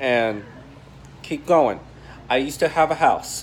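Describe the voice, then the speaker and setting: Over light background noise, a man with a fairly high pitch speaks at a fairly slow pace and ordinary pitch variation. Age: 20s. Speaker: YouTuber. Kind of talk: personal vlog monologue. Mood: earnest, personal, reflective. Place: home room. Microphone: phone near.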